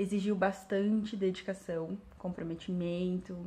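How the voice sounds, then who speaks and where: A woman speaks at a very slow pace with monotone, flat intonation. Her tone is dark and mellow, and somewhat breathy. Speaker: English teacher. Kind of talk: vlog monologue. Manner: hesitant with fillers.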